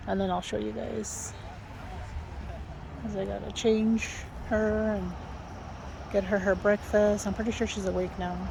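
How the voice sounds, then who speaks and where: A woman whispers at a moderate pace, leaving long, frequent pauses. Room echo can be heard around her. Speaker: vlogger. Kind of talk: casual vlog talk. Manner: whispering.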